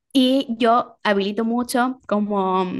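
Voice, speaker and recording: The voice belongs to a woman. Her pitch moves up and down in an ordinary way. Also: quiet background. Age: 30s. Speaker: communicator and educator. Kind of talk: casual chat. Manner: halting.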